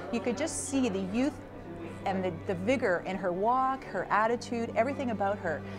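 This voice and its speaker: A woman talks at a moderate pace with music playing behind her. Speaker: college associate dean. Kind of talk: interview answer.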